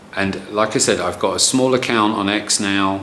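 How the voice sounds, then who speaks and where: Audible room echo and noticeable background noise surround a man whose fairly low voice keeps a fairly even intonation. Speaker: marketing consultant. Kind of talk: tutorial. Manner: casual, with fillers and repeats.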